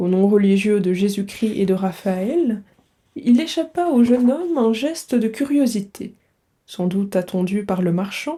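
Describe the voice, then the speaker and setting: A woman's somewhat breathy, dark and mellow voice, fairly slow, with lively intonation. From Belgium. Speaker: French teacher / book reader. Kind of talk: literary audiobook reading.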